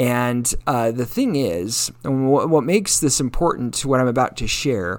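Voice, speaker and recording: With a normal speaking voice, a man speaks fairly slowly at a medium pitch, using lively intonation. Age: 40s. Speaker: solo podcaster. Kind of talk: personal monologue. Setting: home kitchen with dog in background.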